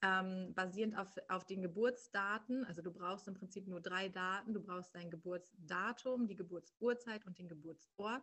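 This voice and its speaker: A woman at a medium pitch and moderate pace, fairly even in intonation, with a normal speaking voice. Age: 30s. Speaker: human design coach. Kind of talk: interview.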